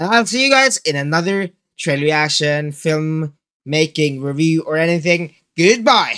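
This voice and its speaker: Against a quiet background, a man talks at a moderate pace with a bright, sharp tone and lively intonation. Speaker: movie reaction youtuber. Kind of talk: casual vlog chat. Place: home room.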